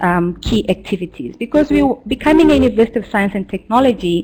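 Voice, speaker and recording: Lively intonation marks this woman's medium-pitched voice. She talks at a fairly quick pace. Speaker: e-learning practitioner. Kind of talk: webinar presentation. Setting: online seminar. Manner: fast.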